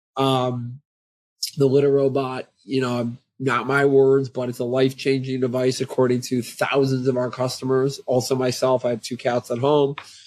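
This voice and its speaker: Speech from this man comes at a moderate speed. He talks at a medium pitch. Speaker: pet tech company CEO. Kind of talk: business podcast interview. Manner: loud; animated.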